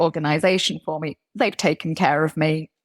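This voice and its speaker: This is a woman's voice. She speaks with a British accent. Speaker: corporate HR executive. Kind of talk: interview conversation.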